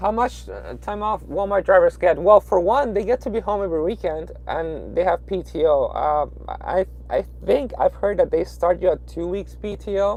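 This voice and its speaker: Moderate pace, in a Peruvian accent. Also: man. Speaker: truck driver. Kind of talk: live stream chat. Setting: in a truck at a truck stop. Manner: hesitant, many fillers.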